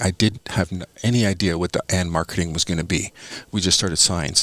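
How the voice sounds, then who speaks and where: On a very clean recording with a silent background and a dry, close sound with no echo, a man with a Canadian accent speaks at a moderate pace in a very deep, low voice with fairly even intonation. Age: 60s. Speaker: small business owner. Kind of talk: podcast interview, storytelling. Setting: studio. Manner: halting, many fillers and repetitions.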